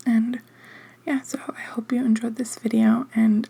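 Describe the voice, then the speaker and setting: Over noticeable background noise, a soft-spoken woman with a fairly high voice talks at a moderate pace. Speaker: ASMR creator. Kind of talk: casual chat. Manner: hesitant, filler-heavy.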